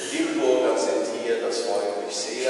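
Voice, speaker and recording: A man at a fairly slow pace, with strong room echo and light background noise. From Niederfischbach, Germany. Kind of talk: speech to church congregation. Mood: warm, grateful. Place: church.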